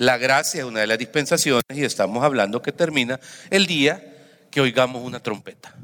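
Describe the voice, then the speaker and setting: The voice has a bright, sharp tone. Its pitch varies in an ordinary way at a moderate pace. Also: man, medium pitch for a man. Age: 50s. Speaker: pastor. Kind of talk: sermon.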